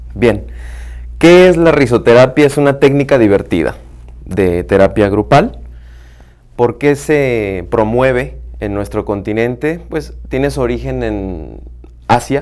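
A man speaks at a very slow pace, with long, frequent pauses. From Mexico, host's home state. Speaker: therapist and workshop facilitator; workshop facilitator. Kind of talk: interview. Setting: studio. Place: studio.

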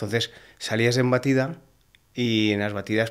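A man speaks in a monotone, flat intonation. The background is quiet. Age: 40s. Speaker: hunter; podcast guest. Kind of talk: casual chat. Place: studio. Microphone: studio mic.

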